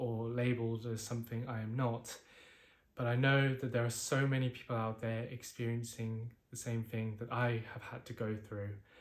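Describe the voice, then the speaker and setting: In a British accent, a man talks at a moderate pace and medium pitch with monotone, flat intonation. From UK. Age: 20s. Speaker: mental health vlogger. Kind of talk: personal testimony.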